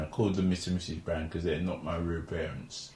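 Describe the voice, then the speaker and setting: The voice is somewhat breathy. Its intonation stays monotone and flat. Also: man. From London (Forest Gate), born in Jamaica. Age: 70s. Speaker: oral history interviewee. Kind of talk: oral history interview. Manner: halting, with false starts.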